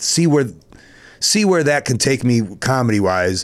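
A man talks with an American accent at a medium pitch. His pitch swings very widely. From Chicago. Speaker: professional wrestler. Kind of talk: casual chat.

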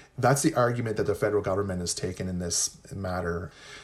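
A man with a Canadian accent sounds somewhat breathy, with ordinary pitch variation. The recording is very clean, with a silent background. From Ontario, Canada (Anishinaabe, Pikwakanagan). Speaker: professor. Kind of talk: interview.

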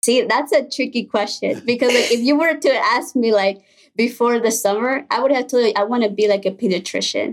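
Speaking with a Spanish accent, a woman uses a high pitch at a fairly quick pace, her loudness very even. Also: ordinary pitch variation. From Mexico, then Illinois from age 10. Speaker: college student. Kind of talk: interview.

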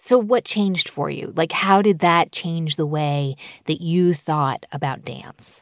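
A woman's unremarkable speaking voice, fairly low in pitch with ordinary pitch variation, at a fairly slow pace in a dry, close sound with no echo. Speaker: radio host. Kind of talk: radio interview and narration.

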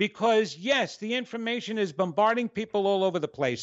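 Speaking in an American accent, a man keeps a moderate pace. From New York. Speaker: psychic radio host. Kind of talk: radio show with live psychic readings. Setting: live radio show with phone callers. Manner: loud, dramatic.

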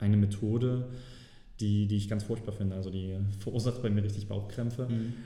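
Amid noticeable background noise and audible room echo, a man talks in a fairly low voice with monotone, flat intonation. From Saxony, Germany. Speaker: personal finance guest. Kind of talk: interview. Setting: office.

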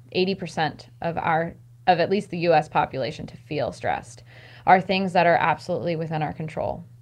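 A woman speaks in an American accent with vocal fry. Her pitch is fairly low, and the background is quiet. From US, rural Maryland. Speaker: stress management coach. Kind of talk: casual interview.

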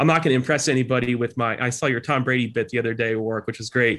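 A man with an American accent talks at a very fast pace, his pitch in the medium range. The background is quiet. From New Jersey Shore, US. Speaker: leadership professor, former army officer. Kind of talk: interview conversation.

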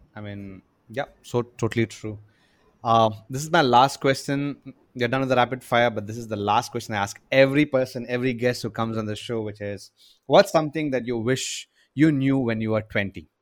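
On a very clean recording with a silent background, a man with an ordinary speaking voice talks at a moderate pace and medium pitch, showing ordinary pitch variation and big swings in loudness. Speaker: podcast interviewer. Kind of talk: casual interview.

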